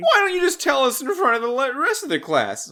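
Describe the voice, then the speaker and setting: A man's put-on character voice, extremely high in pitch, at a fairly quick pace over light background noise. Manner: mocking.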